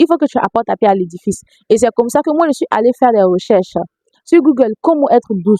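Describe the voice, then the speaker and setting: Over a dry, close sound with no echo, a woman talks at a very fast pace with lively intonation. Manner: soft-spoken.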